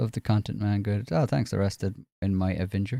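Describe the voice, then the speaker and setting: A dark, mellow tone in an Irish accent, dry and close with no echo, on a very clean recording with a silent background. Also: man. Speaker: gaming livestreamer. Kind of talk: casual livestream chat.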